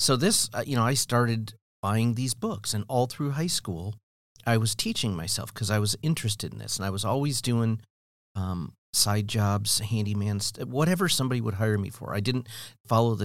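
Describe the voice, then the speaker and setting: A man with an American accent and an ordinary speaking voice talks at a fairly quick pace with ordinary pitch variation, in a very clean recording with a silent background. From US Midwest, Cleveland area. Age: 60s. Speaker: construction education coordinator, former general contractor. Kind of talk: casual interview. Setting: studio.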